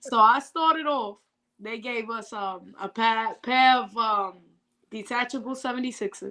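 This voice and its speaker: The voice has a bright, sharp tone and ordinary pitch variation, moving at a fairly slow pace with big swings in loudness. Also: woman, fairly high pitch for a woman. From Florida. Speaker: barber student. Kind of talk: interview. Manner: halting, repeats words.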